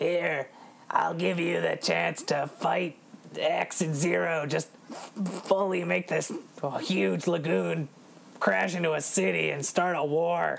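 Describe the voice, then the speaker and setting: Clear background noise sits under a put-on character voice at middle pitch. The pace is fairly slow, with long, frequent pauses. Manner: menacing.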